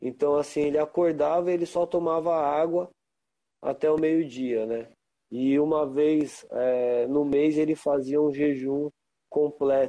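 A man's dark, mellow tone, fairly high in pitch, at a fairly slow pace with fairly even intonation. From São Paulo, Brazil. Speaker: reggae musician and Rastafari practitioner. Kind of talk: casual interview. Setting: Instagram live.

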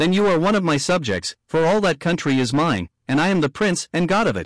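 Hissing, a man puts on a character voice at high pitch and a fairly quick pace. The recording is very clean, with a silent background. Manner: hissing, menacing, furious.

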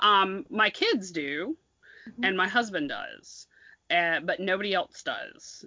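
In an American accent, a woman uses a normal speaking voice at a medium pitch, talking at a fairly slow pace with lively intonation. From US South. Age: 40s. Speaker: podcast host.

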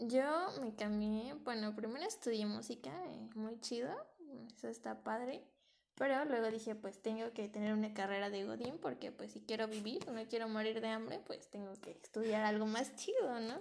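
This is an ordinary speaking voice. A woman talks at a moderate pace and a fairly high pitch, with ordinary pitch variation. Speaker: podcast co-host. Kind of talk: casual chat.

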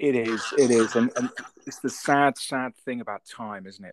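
Recorded with a dry, close sound and no echo, a man speaks with a British accent. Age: 50s. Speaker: podcast host. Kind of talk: casual chat.

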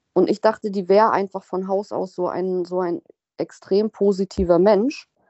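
It's an unremarkable speaking voice, moving at a moderate pace with ordinary pitch variation. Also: woman. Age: 30s. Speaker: recovering alcoholic sharing her story. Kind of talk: interview testimony.

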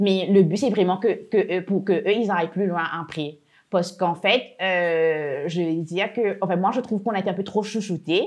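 An unremarkable speaking voice with ordinary pitch variation comes through over a quiet background. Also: woman, medium pitch for a woman, moderate pace. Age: 20s. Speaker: entrepreneur. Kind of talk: interview. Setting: workshop.

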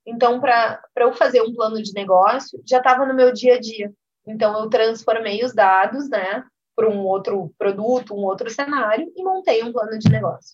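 The woman has an unremarkable speaking voice with a fairly high pitch. She keeps a moderate pace, and her loudness swings widely. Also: ordinary pitch variation. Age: 30s. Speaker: business executive and entrepreneur. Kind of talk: interview.

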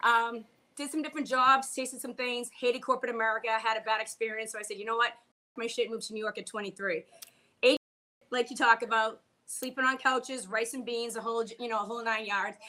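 A woman's bright, sharp, fairly high voice in a Boston accent, very fast, fairly even in intonation, with big swings in loudness. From Boston, US. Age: 40s. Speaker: comedian and bartender. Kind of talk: casual chat.

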